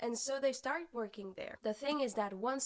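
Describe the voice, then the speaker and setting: A woman's voice with a French accent. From France. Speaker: singer-songwriter and book vlogger. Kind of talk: casual book review vlog.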